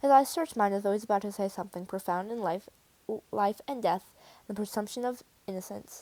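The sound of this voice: The reading voice is unforced. Its pitch shows ordinary variation.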